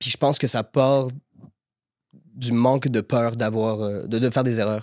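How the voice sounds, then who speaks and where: Flat and monotone, a man speaks at a fairly slow pace. His pitch sits in the medium range. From Quebec, Montreal (Saint-Léonard). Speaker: actor. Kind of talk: podcast interview. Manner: hesitant, repeats words.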